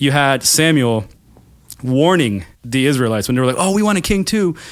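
Speaking at a fairly quick pace with lively intonation, a man of medium pitch has an unremarkable speaking voice. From Florida, US, half Puerto Rican. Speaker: podcast host, theology teacher. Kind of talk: casual chat.

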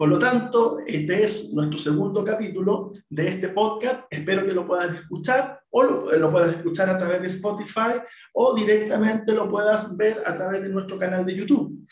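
A man with a high voice talks at a moderate pace, with ordinary pitch variation, hardly any pauses, and audible room echo. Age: 40s. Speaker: teacher and podcast host. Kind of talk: solo podcast monologue.

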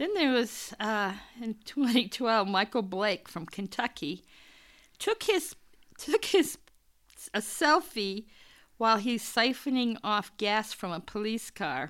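On a very clean recording with a silent background, a woman with a fairly high pitch and lively intonation speaks at a very slow pace with long, frequent pauses. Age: old. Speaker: podcast co-host. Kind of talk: casual chat.

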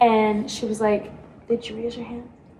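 At a moderate pace, a woman talks in a fairly high voice over noticeable background noise. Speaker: college theater student, podcast co-host. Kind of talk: casual chat.

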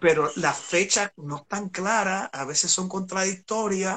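Very slow speech comes from a man whose high-pitched voice has a bright, sharp tone. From Puerto Rico, San Juan metro area. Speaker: historian and songwriter. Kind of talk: casual history discussion on a live stream. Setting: live online video stream.

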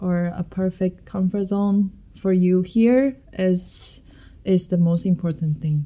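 A woman's dark, mellow tone sits at a medium pitch. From Taiwan. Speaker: MBA student, club president. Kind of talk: casual chat. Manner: halting.

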